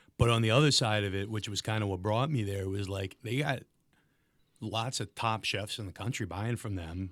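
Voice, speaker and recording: In a very clean recording with a silent background, a somewhat breathy man with a fairly low pitch speaks at a fairly quick pace with ordinary pitch variation. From US East Coast, Delaware and Philadelphia. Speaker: comedian. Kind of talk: casual chat.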